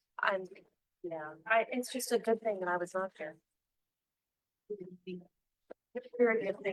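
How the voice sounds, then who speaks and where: A woman talks in a medium pitch at a fairly slow pace, using ordinary pitch variation. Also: dry, close sound with no echo. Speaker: advisory board member. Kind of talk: casual chat before a meeting. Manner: loud.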